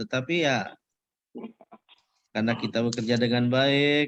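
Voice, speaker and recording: A man at a medium pitch and moderate pace, with fairly even intonation. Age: 60s. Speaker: senior judge, association chairman. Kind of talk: casual farewell chat. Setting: video call.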